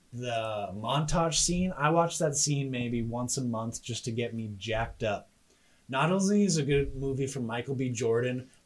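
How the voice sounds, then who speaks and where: A man talks in a normal speaking voice, at medium pitch, with ordinary pitch variation. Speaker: podcast host. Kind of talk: casual banter debate show. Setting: home spare bedroom studio, livestreamed.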